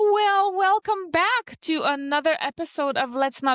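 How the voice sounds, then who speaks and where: A woman with a Polish accent, very wide pitch swings, and a dry, close sound with no echo. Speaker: podcast host. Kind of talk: casual, conversational.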